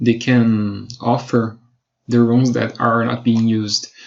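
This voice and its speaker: At a very slow pace, a man with a Brazilian Portuguese accent speaks at a medium pitch. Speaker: web designer. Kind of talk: tutorial. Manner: halting.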